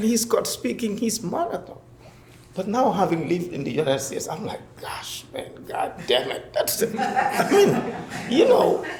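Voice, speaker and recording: Over noticeable background noise and audible room echo, a man speaks at a moderate pace with big swings in loudness. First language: a West African language. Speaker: professor. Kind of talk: panel discussion.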